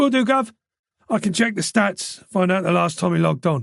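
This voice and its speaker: A man puts on a raspy character voice at a high pitch. He delivers it at a fairly quick pace. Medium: read story. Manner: upbeat.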